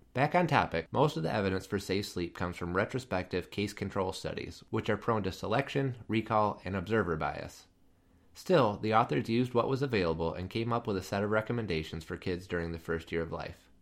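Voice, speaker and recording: In a very clean recording with a silent background, a man with an unremarkable speaking voice talks at a fairly quick pace, his fairly low pitch carrying lively intonation. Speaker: pediatric education podcast host. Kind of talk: scripted narration.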